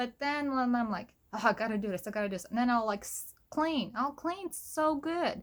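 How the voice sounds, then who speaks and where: A high-pitched woman's voice on a very clean recording with a silent background. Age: 30s. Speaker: vlogger. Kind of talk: personal vlog. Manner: casual, filler-heavy.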